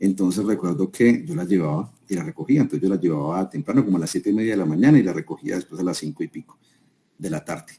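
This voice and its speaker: A man speaks very fast in a fairly low pitch. His tone is dark and mellow. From Colombia, Armenia (Quindío). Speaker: business consultant, guest speaker. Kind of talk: webinar talk, storytelling. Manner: conversational, with many fillers and restarts.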